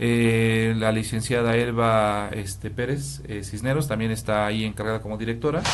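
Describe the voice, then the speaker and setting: Medium in pitch, a man speaks with ordinary pitch variation and hardly any pauses. Noticeable background noise and audible room echo are present. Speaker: hematologist. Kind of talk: interview. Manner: fast.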